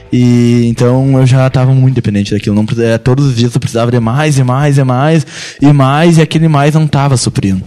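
Music plays in the background as a man talks at a fairly quick pace and medium pitch, with fairly even intonation and very even loudness. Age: 20s. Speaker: church youth guest sharing recovery story. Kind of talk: testimony.

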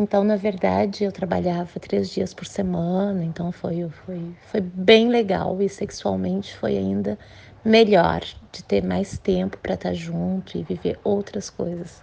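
Talking at a fairly slow pace, a woman shows big swings in loudness. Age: 40s. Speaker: nurse. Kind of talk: recorded testimony.

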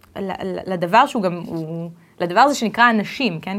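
A woman talks in a mid-range pitch for her voice, her delivery unhurried yet not slow, with pitch that rises and falls in a typical way. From Israel and US. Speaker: HR director. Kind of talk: interview. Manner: halting.

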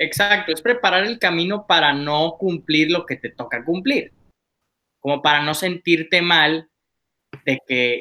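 With an ordinary speaking voice, a man talks at a fairly high pitch using lively intonation. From Monclova, Coahuila, northern Mexico. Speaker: podcast guest. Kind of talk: casual chat.

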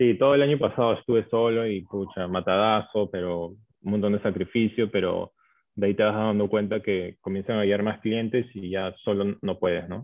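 A man with a fairly low voice keeps his intonation fairly even at a moderate pace. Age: 20s. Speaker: chef and food business owner. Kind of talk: interview. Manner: hesitant, many fillers.

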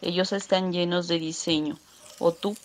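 A woman talks at a moderate pace in an ordinary speaking voice. Her pitch sits fairly low and her intonation stays fairly even. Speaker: artisan. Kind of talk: promotional pitch.

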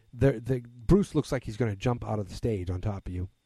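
A man with an American accent speaks at a fairly quick pace, his pitch fairly low and his tone dark and mellow. The voice is somewhat breathy, with ordinary pitch variation and a dry, close sound free of echo. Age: 30s. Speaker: podcast host. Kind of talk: solo monologue. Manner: hesitant, many fillers.

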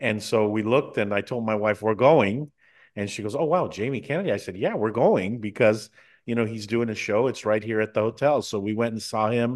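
An unremarkable speaking voice from a man with an American accent, medium pitch, ordinary pitch variation and a fairly quick pace. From United States. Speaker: TV and radio talk show host. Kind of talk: interview.

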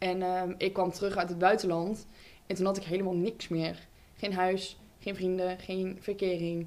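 Delivered in a flat monotone, the words come at a fairly slow pace. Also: woman, medium pitch for a woman. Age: 20s. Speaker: podcast host. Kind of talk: casual chat.

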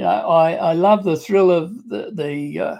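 A man with an Australian accent and a dark, mellow tone. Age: 60s. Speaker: online business entrepreneur. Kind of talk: interview testimony. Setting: video call.

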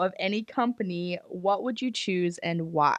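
Lively intonation at a moderate pace from a woman with an unremarkable speaking voice. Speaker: podcast host.

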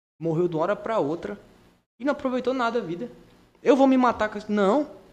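Lively intonation runs through speech at a fairly quick pace. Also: man. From Porto Velho, Rondônia, Brazil. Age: 20s. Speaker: jiu-jitsu athlete and social project instructor. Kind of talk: casual chat.

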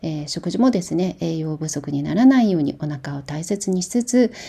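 A woman speaks in a fairly low, somewhat breathy voice with a dark, mellow tone and lively intonation. The recording is very clean, with a silent background. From Japan, Kumamoto. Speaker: podcast host on herbal medicine and diet. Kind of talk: casual talk.

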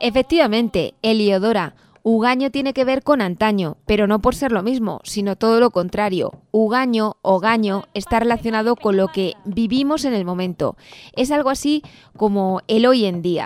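This is an ordinary speaking voice at a moderate pace with ordinary pitch variation. The sound is dry and close with no echo. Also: woman, fairly high pitch for a woman. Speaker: radio host. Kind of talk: scripted radio narration.

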